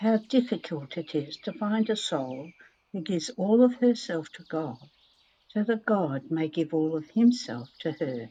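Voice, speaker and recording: Soft-spoken, a woman talks at a fairly slow pace in a dark, mellow tone. Her pitch sits in the medium range but swings very widely. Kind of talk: religious reading, devotional text read aloud. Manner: very quiet, soft-spoken.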